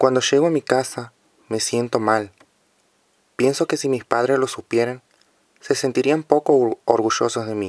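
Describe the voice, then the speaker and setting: With a medium pitch and fairly even intonation, a man talks at a fairly slow pace, leaving long, frequent pauses. The sound is dry and close, without echo. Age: 20s. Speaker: young person sharing drug use experience. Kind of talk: testimony.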